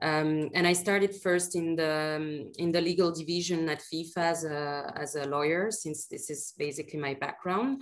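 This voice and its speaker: A woman with a French accent speaks at a moderate pace with hardly any pauses. Her voice is fairly low, with ordinary pitch variation. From France, Paris. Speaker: sports lawyer and governance manager. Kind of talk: webinar panel chat.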